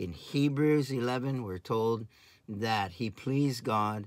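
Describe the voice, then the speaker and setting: A man's voice with ordinary pitch variation, dry with no echo, over a quiet background. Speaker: pastor or Bible teacher. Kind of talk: sermon. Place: home room. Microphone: phone near.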